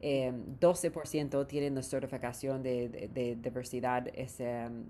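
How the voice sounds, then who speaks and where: A woman with an English accent speaks in a very deep, low pitch, with a dark, mellow tone and ordinary pitch variation. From US West Coast, Southern California (Orange County). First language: English (speaking Spanish). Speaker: startup founder. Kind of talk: interview. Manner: halting.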